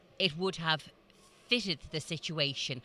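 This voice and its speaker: A woman with a Dublin accent speaks at a moderate pace in a very deep, low pitch. Her tone is bright and sharp, on a very clean recording with a silent background. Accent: Dublin Irish. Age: 60s. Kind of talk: interview. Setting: motor show event.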